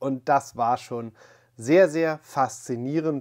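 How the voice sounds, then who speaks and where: Very slow speech from a man, quiet background behind him. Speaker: collector channel host. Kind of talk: casual vlog intro. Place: home room. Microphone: lapel.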